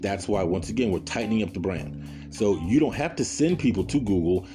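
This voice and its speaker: A man speaks in a very deep, low voice with very wide pitch swings, music playing in the background. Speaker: podcast host; former radio broadcaster, media professional. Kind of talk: casual, conversational instruction.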